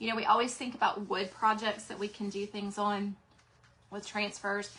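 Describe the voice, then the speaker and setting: Speaking in an American accent at a medium pitch and moderate pace, a woman keeps a monotone, flat intonation while her loudness swings widely over noticeable background noise. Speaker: craft seller and livestream host. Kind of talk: live craft demo and sales chat. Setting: livestream. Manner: casual, chatty.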